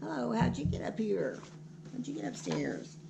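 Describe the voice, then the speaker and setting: A woman puts on a character voice with a very deep, low pitch, speaking at a moderate pace over clear background noise. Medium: read story.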